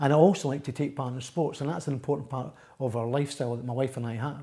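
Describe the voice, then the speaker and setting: Speaking at a very fast pace, a man has a dark, mellow tone, medium pitch, fairly even intonation and a somewhat breathy quality. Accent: Edinburgh. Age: 60s. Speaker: patient. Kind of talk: testimony.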